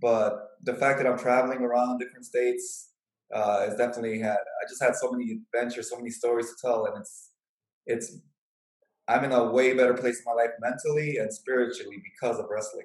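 At a fairly quick pace, a man with an American accent has a normal speaking voice at a medium pitch with fairly even intonation. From Chicago. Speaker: professional wrestler. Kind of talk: interview.

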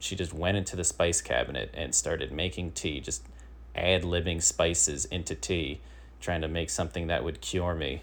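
A man's very deep, low voice carries vocal fry and ordinary pitch variation. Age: 30s. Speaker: comedy podcast host. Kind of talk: comedic news monologue. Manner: halting.

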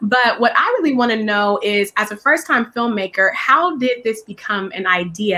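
With an American accent, a woman speaks at a fairly quick pace with hardly any pauses, using a fairly high pitch, lively intonation and an animated tone. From California. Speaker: podcast host and actress. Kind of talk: casual interview chat.

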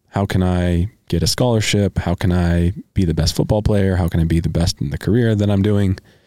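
At a fairly quick pace, a man with a very deep, low pitch and dark, mellow tone speaks with fairly even intonation on a very clean recording with a silent background. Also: hardly any pauses, very even loudness. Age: 30s. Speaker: podcast host. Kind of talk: casual chat.

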